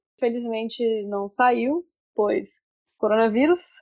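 A woman is speaking. Her pitch is high, with ordinary pitch variation. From Brazil, Brasília. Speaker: advertising copywriter. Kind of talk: interview. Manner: casual.

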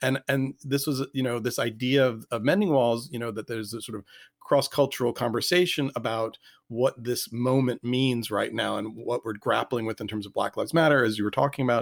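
This man has an unremarkable speaking voice at medium pitch, speaking at a fairly quick pace with fairly even intonation, recorded very cleanly against a silent background with a dry, close sound and no echo. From Richmond, Virginia, US. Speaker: artist and creativity consultant. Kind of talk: casual interview chat.

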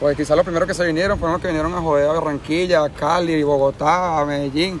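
A man's fairly high, monotone, flat voice at a very fast pace over noticeable background noise. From Venezuela. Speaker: street musician. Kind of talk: street interview.

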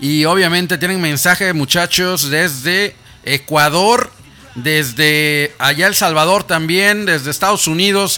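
Against music in the background, a man with a high, animated voice talks at a fairly slow pace, his loudness very even. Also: ordinary pitch variation. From Mexico, Monterrey. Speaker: radio host. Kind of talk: live radio interview.

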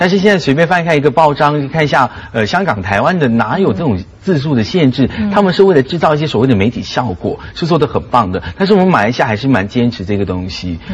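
With noticeable background noise behind him, a fairly high-pitched man races along at a very fast pace, with very wide pitch swings and hardly any pauses. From Malaysia. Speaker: lecturer and TV host. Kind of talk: talk show discussion.

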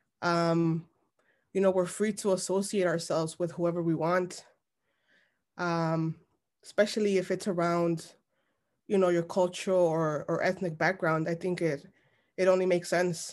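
A woman with an American accent, fairly low in pitch, in monotone, flat intonation with long, frequent pauses against a quiet background. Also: moderate pace. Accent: Chicago Mexican American English. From Chicago, Little Village (Mexican American). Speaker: journalist and editor. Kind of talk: interview.

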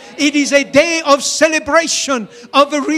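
An animated tone carries over music in the background. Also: man. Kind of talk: sermon. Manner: fervent, animated preaching with call-and-response, rising exhortations; repetitive, emphatic, pausing for congregation to answer.

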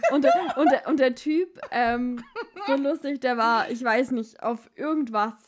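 High-pitched woman at a fairly slow pace, ordinary pitch variation. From Baden-Württemberg, Germany. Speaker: podcast host. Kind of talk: casual chat. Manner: animated.

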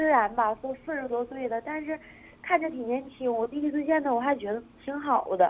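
Her voice high-pitched, a woman talks at a fairly quick pace with ordinary pitch variation. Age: 20s. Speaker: radio call-in caller. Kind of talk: emotional confession on phone-in. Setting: phone call.

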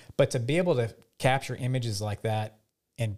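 His voice sits at a medium pitch. The man sounds somewhat breathy. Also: very clean recording, silent background. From Louisiana (Lafayette). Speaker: swamp photographer and nonprofit director. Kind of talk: casual interview.

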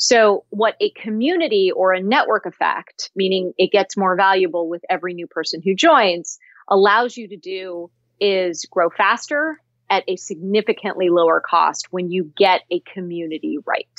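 In a Californian accent, a woman of medium pitch speaks at a moderate pace with lively intonation and big swings in loudness. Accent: General American, Californian. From US West Coast, Cupertino, California. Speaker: tech company founder and CEO. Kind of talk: interview.

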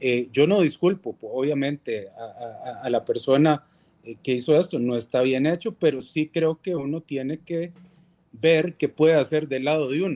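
In a dry, close recording with no echo, a man talks at a fairly slow pace with a fairly high pitch, a dark, mellow tone and ordinary pitch variation. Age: 40s. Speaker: legislator. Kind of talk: interview. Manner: halting.

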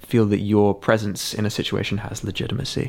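This man has a southern English accent and a fairly low voice. He speaks at a moderate pace. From England, Sussex countryside. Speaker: musician and photographer. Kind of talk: casual chat. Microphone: camera shotgun mic on tripod close to face.

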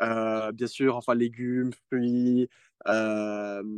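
A man speaks here. The sound is dry and close, with no echo. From Geneva, Switzerland. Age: 20s. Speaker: youth climate delegate. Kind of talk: interview. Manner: halting, with many repeated words.

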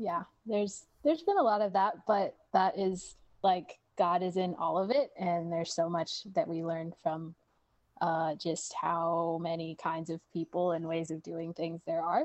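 A woman with an American accent speaks slowly, though only fairly so, with fairly even intonation and fairly low pitch. She has an ordinary speaking voice. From Washington State, US. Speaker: therapist. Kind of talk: casual chat, interview.

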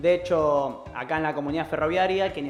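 This is a man with a normal speaking voice and a fairly high pitch. He talks at a moderate pace with ordinary pitch variation. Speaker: community radio co-host. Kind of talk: casual chat. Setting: studio.

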